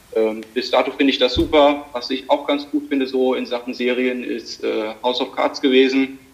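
A man talks at a moderate pace with hardly any pauses. Noticeable background noise runs underneath. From Germany, Limburg (Hesse). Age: 20s. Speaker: amateur cyclist and dual student. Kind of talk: casual interview. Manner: hesitant, many fillers.

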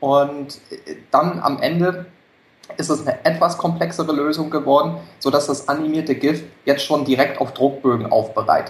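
A man has an ordinary speaking voice with a fairly high pitch. His intonation is fairly even, and his pace is moderate. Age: 30s. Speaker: entrepreneur with side business. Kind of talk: interview.

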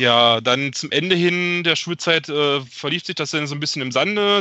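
With an ordinary speaking voice, a man speaks at a moderate pace and with ordinary pitch variation. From Germany, Magdeburg. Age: 30s. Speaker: football fan, podcast guest. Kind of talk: casual chat. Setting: remote call.

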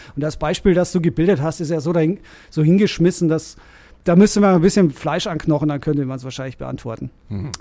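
A man's fairly high voice with a slight Bavarian accent, at a very fast pace with ordinary pitch variation. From Bavaria, Germany (Rosenheim, Upper Bavaria). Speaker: lawyer and DJ. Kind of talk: casual interview conversation.

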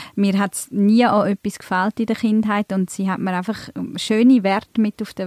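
Delivered at a fairly quick pace with fairly even intonation, this is an ordinary speaking voice in a dry, close sound with no echo. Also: woman. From Switzerland, Emmental (Bern), born in Turkey. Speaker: events manager, podcast co-host. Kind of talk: casual chat. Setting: studio.

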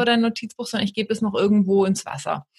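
A woman talks at a very fast pace and medium pitch, somewhat breathy, with ordinary pitch variation. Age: 30s. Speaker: life coach and podcaster. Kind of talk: casual chat.

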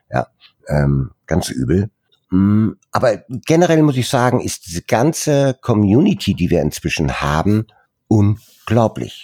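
A man speaks at a very slow pace in a fairly low voice with very wide pitch swings. The sound is dry and close, with no echo. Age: 60s. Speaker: founder of a volunteer photography charity. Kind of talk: interview. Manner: hesitant, many fillers.

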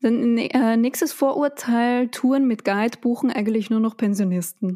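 A woman with an Austrian accent speaks at a fairly high pitch, with a dark, mellow tone. Her pace is fairly slow, her loudness very even and her pitch variation ordinary. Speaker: podcast host. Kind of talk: casual chat. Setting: home studio in a pillow fort.

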